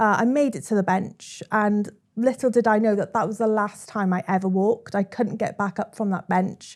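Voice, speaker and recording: Spoken in a Welsh accent with fairly even intonation and hardly any pauses, the recording is very clean with a silent background. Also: woman, medium pitch for a woman, moderate pace. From South Wales, Swansea. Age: 30s. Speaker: social media storyteller. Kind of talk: interview.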